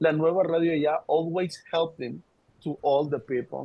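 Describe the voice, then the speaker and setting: Pitched fairly high, a man speaks with a Spanish accent. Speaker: radio station worker. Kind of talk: video call discussion. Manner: halting.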